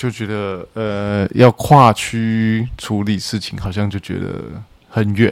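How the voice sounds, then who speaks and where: A man talks at a very slow pace in a fairly low pitch. His intonation stays monotone and flat. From central-southern Taiwan. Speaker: podcast guest. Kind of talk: casual chat.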